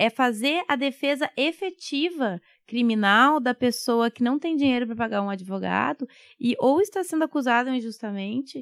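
A woman's high pitch and lively intonation at a moderate pace, dry and close with no echo, in a very clean recording with a silent background. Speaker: public defender. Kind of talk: interview.

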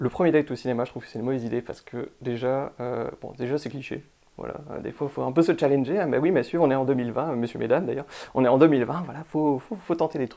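A man's dark, mellow voice at a medium pitch, very fast, with big swings in loudness. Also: ordinary pitch variation. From northern France. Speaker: podcast host. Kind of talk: casual chat.

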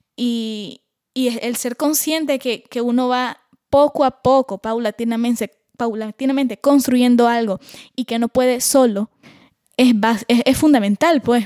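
A woman's high, dark, mellow voice at a fairly slow pace, fairly even in intonation, with a dry, close sound and no echo. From Nicaragua. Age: 20s. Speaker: singer-songwriter. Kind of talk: interview.

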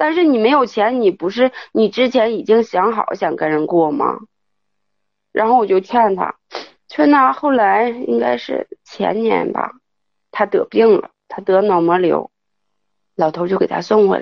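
A woman's fairly high voice, very wide pitch swings, a fairly slow pace and long, frequent pauses. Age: 30s. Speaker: caller. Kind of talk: call-in confession. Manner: halting.

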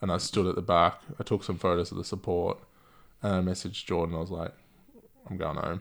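A man with an Australian accent talks at a fairly quick pace in a very deep, low pitch, his intonation monotone and flat, with long, frequent pauses. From Gold Coast, Queensland, Australia. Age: 30s. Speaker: music photographer. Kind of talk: casual chat. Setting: at home.

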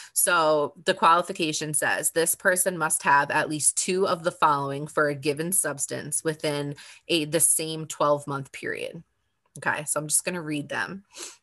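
In a very deep, low voice, a woman speaks at a moderate pace with a bright, sharp tone. Her intonation is monotone and flat, and the background is quiet. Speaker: podcast co-host, hospital worker in recovery. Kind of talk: casual chat. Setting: video call.

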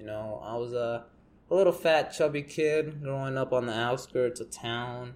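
The speech is mumbled. It moves at a fairly slow pace. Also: man. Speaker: podcaster. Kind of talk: casual monologue. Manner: mumbling.

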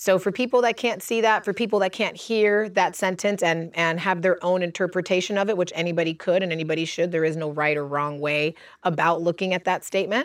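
In a very clean recording with a silent background, a woman with a normal speaking voice and an American accent talks at a fairly quick pace and medium pitch, with ordinary pitch variation and hardly any pauses. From US, Cuban American family. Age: 30s. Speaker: holistic practitioner and coach. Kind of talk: casual chat. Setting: outdoors.

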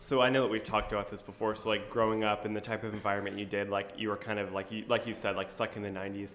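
A man at a very fast pace with hardly any pauses, fairly low in pitch, monotone and flat in intonation, with audible room echo. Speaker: podcast host and high school teacher. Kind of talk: casual chat. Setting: conference room of a coffee shop. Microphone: echoey room sound.

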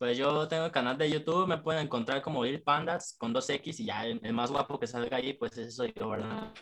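Music plays in the background as a man talks at a fairly quick pace. His pitch is fairly high and his intonation lively. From Mexico, Michoacán (Jacona). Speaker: rapper. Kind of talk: casual chat.

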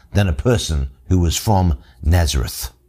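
A somewhat breathy man with an Australian accent talks at a moderate pace with very wide pitch swings, in a very clean recording with a silent background. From Australia, Sydney working-class suburb. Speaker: pastor. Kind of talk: bible teaching podcast.

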